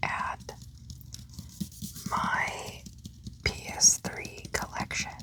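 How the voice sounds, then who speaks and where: The speaker whispers at a very slow pace. Noticeable background noise can be heard. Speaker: ASMR gaming content creator. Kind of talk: ASMR whispered commentary. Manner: whispered, soft-spoken.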